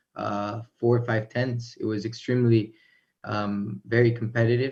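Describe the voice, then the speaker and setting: Against a quiet background, a man talks at a moderate pace. His medium-pitched voice has monotone, flat intonation. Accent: American. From Miami, Florida then North Carolina, US. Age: young. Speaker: racing driver. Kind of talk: live interview. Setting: video call. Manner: halting.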